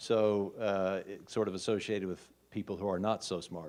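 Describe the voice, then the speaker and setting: This man speaks with an American accent. His voice sits fairly low. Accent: regional US accent, noticeable to locals. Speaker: hospitalist physician, conference speaker. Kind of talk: conference talk. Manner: slow.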